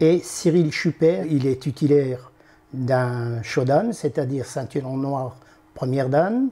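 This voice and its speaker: Here a man speaks at a very slow pace. His pitch is fairly high, with ordinary pitch variation. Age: 70s. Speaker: aikido instructor. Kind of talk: interview.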